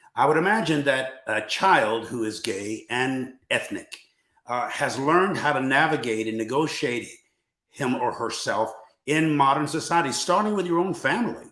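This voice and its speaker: Audible room echo surrounds a man's fairly high-pitched voice with a bright, sharp tone. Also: lively intonation, moderate pace. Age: 70s. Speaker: church leader on discussion panel. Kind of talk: online panel discussion.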